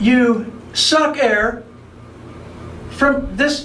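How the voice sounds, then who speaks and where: With an American accent, a man talks using ordinary pitch variation. Audible room echo is present. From US South, Miami, Florida. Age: 70s. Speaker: vintage scuba diving enthusiast. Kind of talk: tutorial demonstration. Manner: halting, many repetitions and fillers; casual, unscripted.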